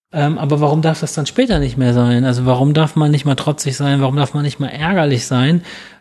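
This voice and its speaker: A man talks in a somewhat breathy, fairly high voice. His pitch variation is ordinary. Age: 40s. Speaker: barefoot running coach. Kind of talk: casual interview. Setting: in person at the academy.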